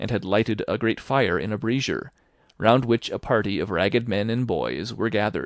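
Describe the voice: Fairly even intonation, read aloud plainly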